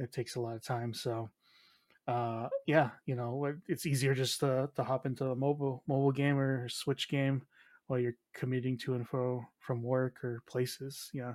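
In an American accent, a man talks at a moderate pace with monotone, flat intonation and a dry, close sound with no echo. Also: medium pitch for a man. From United States. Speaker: games journalist. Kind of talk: casual chat.

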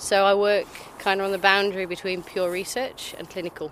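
This woman has an ordinary speaking voice at a medium pitch and moves at a fairly quick pace. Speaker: scientist, molecular biologist. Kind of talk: casual street chat. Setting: outdoors.

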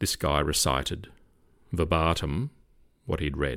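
Over a silent background in a very clean recording, a man with an Australian accent and a very deep, low pitch speaks at a moderate pace with vocal fry. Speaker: retired police officer. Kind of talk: casual chat.

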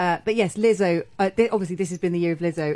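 A woman with a British accent speaks at a fairly low pitch. Her tone is dark and mellow, with ordinary pitch variation. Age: 40s. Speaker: TV critic and journalist. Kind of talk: casual chat. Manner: animated.

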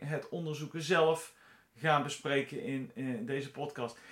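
Here a man speaks with a fairly high pitch. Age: 50s. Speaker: podcast host, bioinformatician and genealogist. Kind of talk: solo podcast monologue. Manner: halting, frequent filler sounds.

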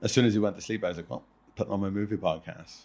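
A man speaks with an Irish accent. The background is quiet. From Ireland. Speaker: professional wrestler and podcast host. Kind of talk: casual chat. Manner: fast.

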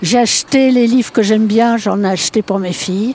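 Noticeable background noise sits behind this recording. A woman talks with a fairly high pitch and ordinary pitch variation. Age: old. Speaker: grandmother interviewee. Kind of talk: interview testimony.

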